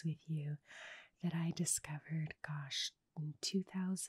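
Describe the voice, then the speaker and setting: Soft-spoken and fairly slow, a woman's voice comes through dry with no echo against a quiet background. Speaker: sound healer. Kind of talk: sound healing guided meditation talk. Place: home room. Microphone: studio mic.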